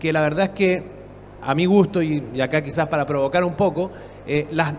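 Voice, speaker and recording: A man talks at a moderate pace with a fairly high pitch and fairly even intonation. Audible room echo and noticeable background noise are present. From Chile. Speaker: public innovation expert, panelist. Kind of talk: conference panel talk.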